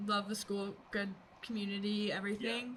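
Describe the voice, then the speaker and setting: A woman with an American accent is heard over noticeable background noise. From Virginia, US (Virginia Beach). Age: 20s. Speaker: mental health advocate, former college athlete. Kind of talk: casual interview.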